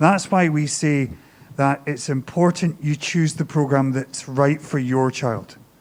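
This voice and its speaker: A man with a Scottish accent talks at a moderate pace. His pitch is fairly high and his intonation fairly even. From Scotland. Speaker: high school teacher or administrator. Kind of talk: open house Q&A presentation.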